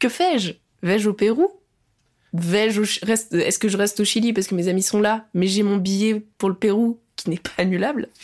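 With a plain, everyday voice, a woman speaks at a moderate pace and a medium pitch with ordinary pitch variation. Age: 20s. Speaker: actress and musician. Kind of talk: casual chat.

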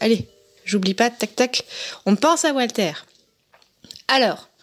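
The intonation is lively. This woman talks at a fairly slow pace. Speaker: podcaster and listener. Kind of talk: recorded voice message. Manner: hesitant.

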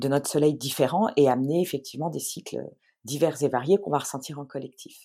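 A woman speaks at a fairly quick pace in a very deep, low pitch with a dark, mellow tone. The recording is very clean, with a silent background. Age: 40s. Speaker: astrologer. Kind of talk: interview. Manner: animated.

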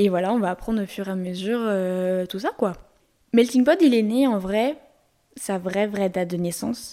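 A woman with a Lyon accent speaks at a moderate pace. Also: medium pitch for a woman. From France, Lyon. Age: 20s. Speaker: podcast host. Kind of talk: solo podcast monologue. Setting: home recording in bedroom. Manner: poor articulation; monotone storytelling.

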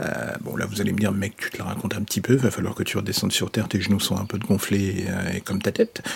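A man with a fairly low voice talks at a very fast pace in a flat monotone, hardly pausing, over noticeable background noise. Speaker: audio fiction narrator. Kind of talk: improvised solo monologue.

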